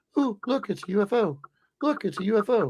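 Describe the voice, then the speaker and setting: A soft-spoken, put-on character voice at a fairly high pitch moves at a fairly quick pace. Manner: excited.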